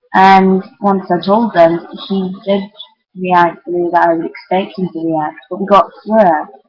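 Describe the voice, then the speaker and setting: A woman's medium-pitched, monotone, flat voice at a fairly slow pace. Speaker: vlogger. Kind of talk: casual confessional vlog. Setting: webcam recording. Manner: halting, many restarts.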